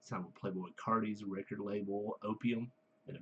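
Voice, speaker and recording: A man at a fairly low pitch and a moderate pace. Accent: Southern US. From US South, Georgia. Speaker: music reviewer, works with kids. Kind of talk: casual review monologue. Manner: halting, many fillers.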